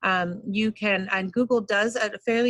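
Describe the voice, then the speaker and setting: A woman's medium-pitched voice, bright and sharp in tone, with fairly even intonation and a dry, close sound free of echo. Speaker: teacher leading professional development. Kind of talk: online training workshop. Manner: fast.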